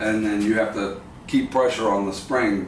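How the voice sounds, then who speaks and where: A man talks amid audible room echo and some light background noise. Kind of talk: casual vlog chat. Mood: strained, cautious. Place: garage. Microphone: camera far.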